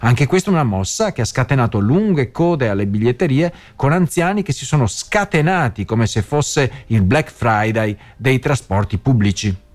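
A man with a Venetian accent speaks at a moderate pace, his pitch swinging very widely. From Venice, Veneto. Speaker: radio host. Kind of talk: radio news commentary. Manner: casual with frequent hesitations.

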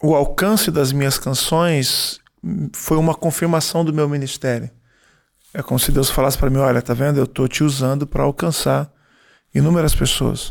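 Fairly high in pitch, a man speaks in a plain, everyday voice at a moderate pace. His intonation stays fairly even and his loudness very even. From Brazil. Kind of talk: interview answers. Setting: in Florence before a concert.

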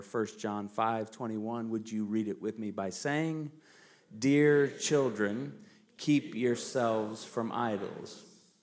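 A normal speaking voice with lively intonation at a fairly slow pace. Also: man. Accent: American. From United States. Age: 40s. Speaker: pastor. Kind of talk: sermon. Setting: church.

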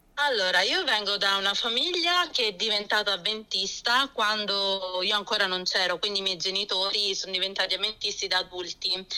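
A woman of medium pitch at a fairly quick pace, with ordinary pitch variation, hardly any pauses and noticeable background noise. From born in Germany, Lecce family (Apulia), moved to Florence at 17. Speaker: pastor's wife and early-childhood educator. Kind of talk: radio interview testimony.

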